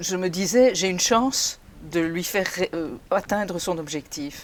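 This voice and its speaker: A woman's plain, everyday voice, fairly low in pitch with ordinary pitch variation, at a fairly slow pace. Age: 60s. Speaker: retired HR mentor. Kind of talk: interview testimony.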